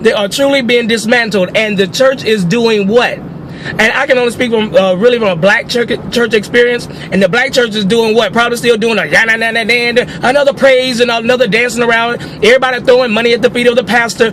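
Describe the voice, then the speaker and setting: Over noticeable background noise, a man talks very fast in an animated tone at an extremely high pitch. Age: 40s. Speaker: social commentary video blogger. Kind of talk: opinion rant.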